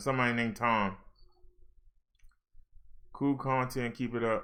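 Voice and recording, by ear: A man talks at a medium pitch. His tone is bright and sharp.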